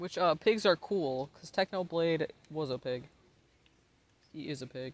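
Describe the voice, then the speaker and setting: With an American accent, a man speaks at a moderate pace in a high pitch with ordinary pitch variation, the sound dry and close with no echo. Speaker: livestreamer. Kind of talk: casual chat. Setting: live stream. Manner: giggly.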